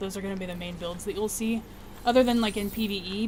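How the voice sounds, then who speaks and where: A woman speaks at a medium pitch with fairly even intonation. Room echo is audible around her voice. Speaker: gaming streamer. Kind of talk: live stream chat.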